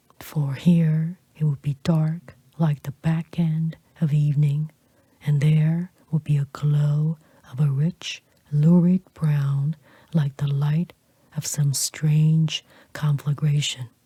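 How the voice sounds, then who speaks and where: Soft-spoken and whispering, the speaker goes at a very slow pace. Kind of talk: audiobook reading of a classic novel. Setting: close-mic studio recording. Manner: soft-spoken, whispered.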